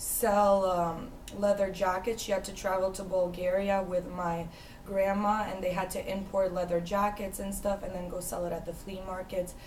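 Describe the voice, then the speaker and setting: Delivered at a moderate pace in a flat monotone, the speech carries audible room echo and noticeable background noise. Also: woman, medium pitch for a woman. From US (moved from Ukraine at age 6). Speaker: interviewee. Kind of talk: interview. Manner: hesitant, many fillers.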